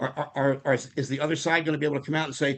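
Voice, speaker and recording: A man's voice at a fairly high pitch. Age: 70s. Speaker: political activist. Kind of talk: public meeting discussion. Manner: halting, many repetitions.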